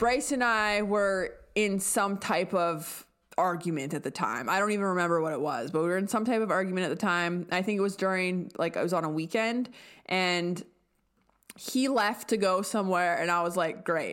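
A woman talks in an ordinary speaking voice, medium in pitch, at a moderate pace with ordinary pitch variation. The recording is very clean, with a silent background. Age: 20s. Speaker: podcast co-host, energy healer and medium. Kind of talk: casual chat.

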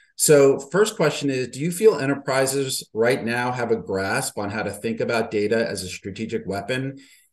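Lively intonation marks this man's ordinary speaking voice, set at medium pitch and a moderate pace. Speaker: interviewer. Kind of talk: interview.

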